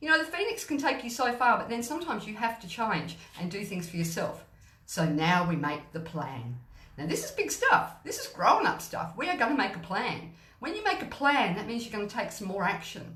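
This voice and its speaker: A woman's fairly high, animated voice with very wide pitch swings and big swings in loudness, plus audible room echo and noticeable background noise. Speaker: gut health mentor and live streamer. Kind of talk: motivational live stream.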